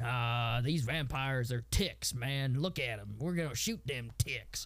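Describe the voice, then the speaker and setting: A gruff, put-on character voice at a fairly slow pace. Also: man, medium pitch for a man. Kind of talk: rugged, drawling talk.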